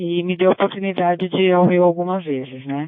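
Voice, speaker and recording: A woman is talking. She keeps a moderate pace. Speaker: ham radio operator. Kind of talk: radio net chat. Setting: amateur radio (DMR).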